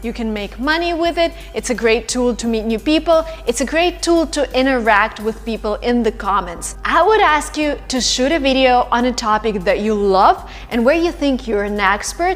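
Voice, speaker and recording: With music in the background, a woman speaks at a high pitch with lively intonation. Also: moderate pace. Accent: Russian. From Russia. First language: Russian. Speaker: YouTuber and English-learning coach. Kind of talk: vlog-style advice talk. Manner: animated, conversational.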